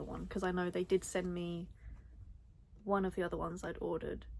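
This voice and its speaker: A woman at a medium pitch with vocal fry. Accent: British. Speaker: crochet content creator. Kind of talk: casual chat. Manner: animated.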